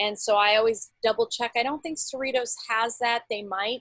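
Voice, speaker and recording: A woman with a plain, everyday voice speaks at a fairly quick pace with ordinary pitch variation. The sound is dry and close, with no echo. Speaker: college teacher and Canvas mentor. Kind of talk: tutorial. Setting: video call from home bedroom.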